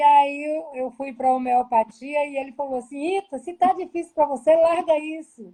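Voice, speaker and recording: This woman has a high-pitched, dark, mellow tone with ordinary pitch variation. She talks at a moderate pace. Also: hardly any pauses. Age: 60s. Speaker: public health manager. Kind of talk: live-stream interview.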